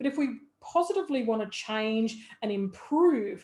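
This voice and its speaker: Somewhat breathy speech from a woman, her pitch moving in a normal way. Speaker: business coach. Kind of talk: tutorial.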